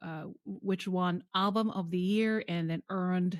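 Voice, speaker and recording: A woman with a Japanese accent speaks at a very slow pace in a fairly low pitch, with ordinary pitch variation. The very clean recording has a silent background and a dry, close sound with no echo. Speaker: podcast host. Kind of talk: interview conversation. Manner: stammering at times.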